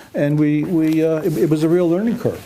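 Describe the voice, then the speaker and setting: A man's fairly quick speech comes through over noticeable background noise. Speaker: company founder and president. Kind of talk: product explanation to camera. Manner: soft-spoken, quiet.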